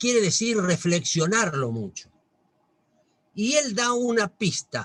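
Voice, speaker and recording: A man speaks at a very slow pace in a high voice with lively intonation. The sound is dry and close, with no echo. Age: 60s. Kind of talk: talk to a religious group.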